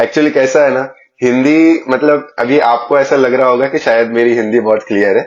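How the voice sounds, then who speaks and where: A man of medium pitch speaks with a Marathi accent. His intonation is fairly even, with hardly any pauses. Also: moderate pace, very even loudness. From Maharashtra, India. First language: Marathi (speaking Hindi). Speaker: podcast host. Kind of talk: casual interview chat.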